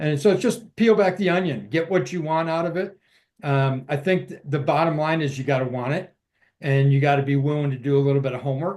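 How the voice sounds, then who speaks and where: A man with an ordinary speaking voice, a fairly high pitch, ordinary pitch variation and a fairly quick pace. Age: 60s. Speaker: military veteran promoting stem cell treatment. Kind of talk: casual interview.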